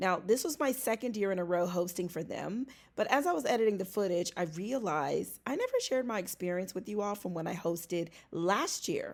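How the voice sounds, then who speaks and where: In a plain, everyday voice, a woman talks at a fairly quick pace with medium pitch and lively intonation, recorded very cleanly against a silent background. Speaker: vlogger and event emcee. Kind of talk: casual vlog.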